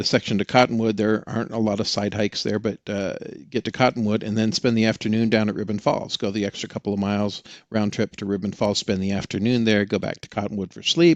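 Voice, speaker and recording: In a quiet background, a man with an American accent talks at a very fast pace. His pitch is fairly low, his intonation fairly even, and the sound is dry and close with no echo. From Oregon. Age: 60s. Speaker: experienced hiker, tech salesman. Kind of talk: podcast interview.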